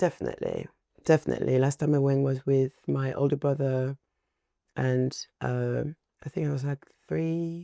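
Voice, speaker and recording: A woman with a French accent, long, frequent pauses. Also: moderate pace, dry, close sound with no echo. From France, Paris. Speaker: singer and rapper. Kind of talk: casual chat.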